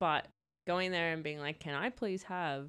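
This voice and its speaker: On a very clean recording with a silent background, a woman with an Australian accent speaks at a fairly low pitch and a fairly slow pace, with ordinary pitch variation. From New South Wales, Australia. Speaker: podcast co-host. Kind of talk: casual chat.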